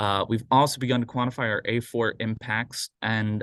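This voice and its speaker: Against a quiet background, a man speaks at a fairly low pitch. His intonation stays fairly even. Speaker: public agency sustainability staff. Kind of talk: meeting update report. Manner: fast.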